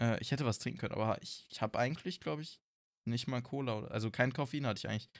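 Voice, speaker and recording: A man talks at a very fast pace. The recording is very clean, and the background is silent. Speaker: podcast co-host. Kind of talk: casual chat.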